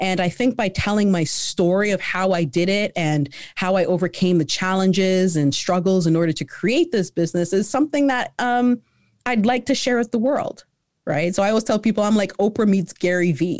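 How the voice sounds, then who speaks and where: A woman uses a normal speaking voice at a medium pitch and moderate pace, with lively intonation and very even loudness. The recording is very clean with a silent background. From Canada. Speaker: entrepreneur. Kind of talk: interview.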